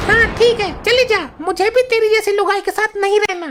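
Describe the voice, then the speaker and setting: In a cartoonish character voice, a woman speaks at a moderate pace with an extremely high pitch and fairly even intonation. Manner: gruff, brash.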